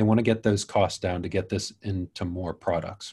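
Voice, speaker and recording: A somewhat breathy man against a quiet background. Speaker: battery YouTuber and patent specialist. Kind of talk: interview conversation. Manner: hesitant, many fillers.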